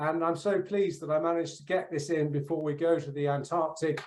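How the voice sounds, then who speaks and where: A man speaks with a British accent. His pitch is fairly high and his intonation fairly even. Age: 60s. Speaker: polar explorer, keynote speaker. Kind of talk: keynote speech. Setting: conference.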